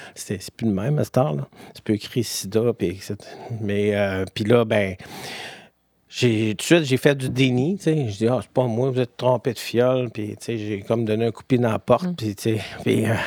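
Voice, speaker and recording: A man with a Quebec accent at a fairly slow pace, big swings in loudness, dry and close with no echo. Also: medium pitch for a man, ordinary pitch variation. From Quebec City, Beauport. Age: 50s. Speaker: person living with HIV. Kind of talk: personal testimony interview. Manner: halting, many fillers.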